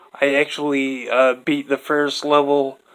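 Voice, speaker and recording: Here a man speaks at a fairly high pitch. His pace is very slow. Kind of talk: casual talk to camera. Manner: stuttering, hesitant; focused, less mumbling.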